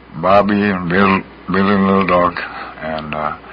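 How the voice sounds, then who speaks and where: Against noticeable background noise, a man with a very deep, low pitch speaks with fairly even intonation. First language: Lakota. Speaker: guest speaker. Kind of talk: casual radio chat.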